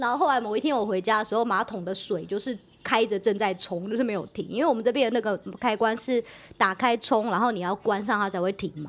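A woman talking at a very fast pace and fairly high pitch, in a very clean recording with a silent background. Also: ordinary pitch variation. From Taiwan. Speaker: podcast co-host. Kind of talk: casual chat.

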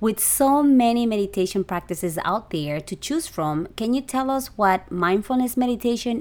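Using lively intonation, a woman with an unremarkable speaking voice talks at a moderate speed. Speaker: podcast host and photographer. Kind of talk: casual interview chat. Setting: video call.

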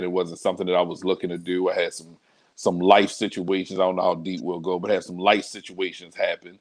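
Very deep and low in pitch, a man speaks with an American accent. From Baltimore, Maryland (Northeast Baltimore). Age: 30s. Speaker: pastor. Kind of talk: casual interview.

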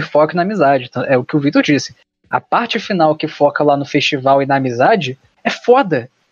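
A man talks at a fairly quick pace in an unremarkable speaking voice. The sound is dry and close, with no echo. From Rio de Janeiro, Brazil. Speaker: podcast host. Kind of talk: casual chat; scripted outro.

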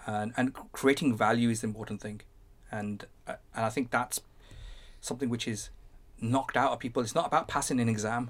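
A man with a Birmingham accent, medium in pitch, fairly quick in pace with long, frequent pauses and fairly even intonation. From Birmingham, England. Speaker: tech entrepreneur. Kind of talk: interview conversation.

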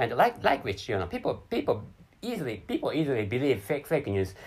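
This man speaks with a Japanese accent at a medium pitch. His pace is fairly quick. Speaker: solo podcaster. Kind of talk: casual monologue. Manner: halting, stuttering; repetitive, many false starts.

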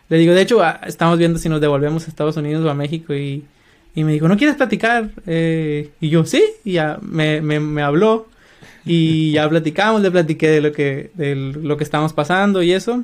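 A man speaks at a fairly quick pace with a fairly high pitch. His is an unremarkable speaking voice with ordinary pitch variation. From Mexico, Culiacán, Sinaloa. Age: 30s. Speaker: software developer. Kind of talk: interview.

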